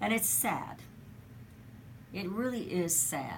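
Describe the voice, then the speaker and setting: Somewhat breathy, a woman's voice swings very widely in pitch. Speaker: talk radio host. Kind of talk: talk radio opening monologue. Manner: conversational, commentary on news.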